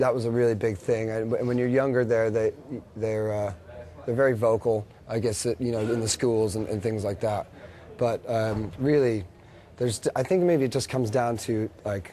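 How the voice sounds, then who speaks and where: Speaking with an American accent, a man uses a medium pitch, fairly even intonation and a moderate pace. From United States. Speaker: rock band guitarist. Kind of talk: TV interview. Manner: hesitant, many fillers.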